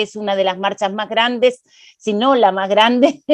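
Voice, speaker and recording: The speaker is a woman with a fairly high pitch. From Argentina. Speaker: panelist on gender and politics. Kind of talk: panel discussion. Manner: many hesitations and filler sounds.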